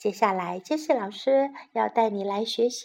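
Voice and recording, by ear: Here someone is reading aloud in a natural voice.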